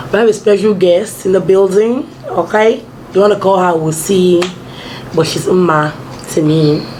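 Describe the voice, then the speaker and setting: With noticeable background noise and audible room echo, a woman speaks at a moderate pace and medium pitch with ordinary pitch variation. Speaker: lifestyle vlogger. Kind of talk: casual chat.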